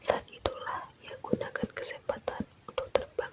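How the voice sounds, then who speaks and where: A woman's extremely high-pitched voice. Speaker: ASMR content creator. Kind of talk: folklore storytelling read aloud. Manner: slow, soothing.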